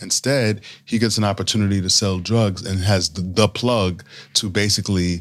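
A man speaks in an unremarkable speaking voice, fairly low in pitch, at a moderate pace. His intonation stays fairly even in a very clean recording with a silent background. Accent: American. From New York City (the Bronx). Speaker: businessman and former naval officer. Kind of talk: casual chat.

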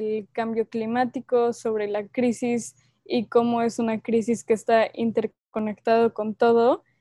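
A woman talks at a very slow pace in a dark, mellow tone with fairly high pitch. Her intonation is monotone and flat, and the sound is dry and close with no echo. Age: young. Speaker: youth environmental activist. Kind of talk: interview.

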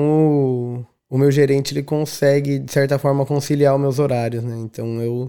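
The recording is very clean with a silent background. A man speaks with a fairly high pitch, a dark, mellow tone and fairly even intonation. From Brazil, São Paulo state interior (São José dos Campos). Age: 30s. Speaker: DJ. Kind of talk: casual interview chat.

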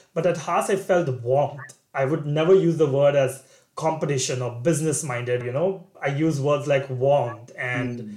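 A man with a fairly high pitch, ordinary pitch variation and a somewhat breathy voice speaks with hardly any pauses. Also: moderate pace. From India. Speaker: MBA student. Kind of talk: interview.

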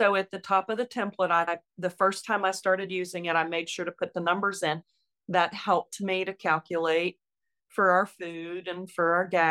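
Against a silent background in a very clean recording, a woman's bright, sharp tone sounds dry and close with no echo, her intonation monotone and flat. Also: medium pitch for a woman, moderate pace. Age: 60s. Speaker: retired nurse. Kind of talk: interview.

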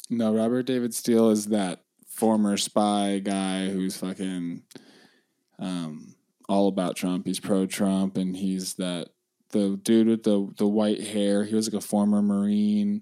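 On a very clean recording with a silent background, a man speaks fairly slowly in a dark, mellow tone with monotone, flat intonation. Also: fairly low pitch for a man. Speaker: podcast host. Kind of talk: casual chat.

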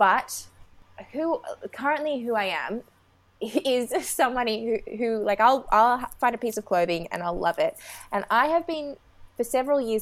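A woman with an Australian accent and lively intonation, in a very clean recording with a silent background. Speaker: ethical fashion advocate. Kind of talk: casual chat. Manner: fast.

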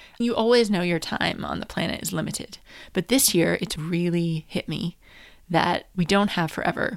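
A woman with an American accent speaks at a moderate pace, her pitch fairly low with ordinary variation. The recording is very clean, with a silent background. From US, New Hampshire. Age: 40s. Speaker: podcast host, business coach. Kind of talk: personal monologue.

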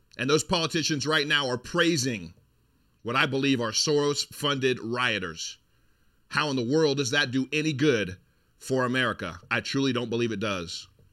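Bright, sharp and animated, a man at medium pitch speaks at a moderate pace with ordinary pitch variation in a very clean recording with a silent background. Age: 40s. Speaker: political commentary podcast host. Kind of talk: sponsor plug; monologue commentary.

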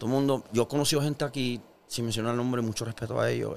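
A man's medium-pitched voice races along very fast with fairly even intonation. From Puerto Rico, Carolina. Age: 40s. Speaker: musician. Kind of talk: casual interview chat.

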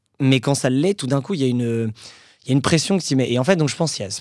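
Very fast, a man speaks at a medium pitch with ordinary pitch variation on a very clean recording with a silent background. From Paris region, Hauts-de-Seine. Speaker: entrepreneur. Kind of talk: casual interview. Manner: hesitant with fillers.

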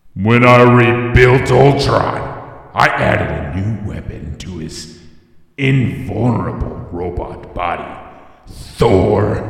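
A man puts on a menacing character voice at a medium pitch, speaking at a very slow pace with a clear echo. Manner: menacing, boastful.

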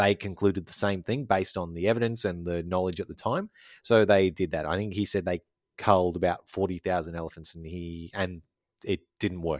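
Recorded very cleanly against a silent background, with a dry, close sound and no echo, a man with an Australian accent speaks at a moderate pace with a very deep, low pitch and fairly even intonation. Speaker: podcast co-host. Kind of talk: casual chat. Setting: studio.

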